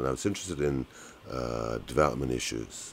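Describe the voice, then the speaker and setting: Speaking with a British accent, a man's voice sits at a very deep, low pitch. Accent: British-sounding. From Malaysia. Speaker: economist. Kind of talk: interview. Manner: hesitant, many fillers.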